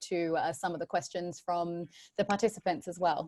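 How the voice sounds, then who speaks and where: Against a quiet background, a woman with an Australian accent speaks at a fairly low pitch with fairly even intonation. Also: dry, close sound with no echo. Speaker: panel moderator. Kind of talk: panel discussion. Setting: video call.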